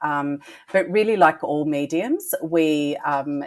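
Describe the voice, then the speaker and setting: In an Australian accent, a woman with a very deep, low pitch speaks at a fairly slow pace with ordinary pitch variation. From Australia, Melbourne. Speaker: psychic medium. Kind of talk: podcast interview.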